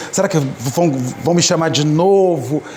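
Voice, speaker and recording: A man is speaking in a room with audible echo. Noticeable background noise is present as well. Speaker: spiritist lecturer. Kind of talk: public lecture. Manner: halting.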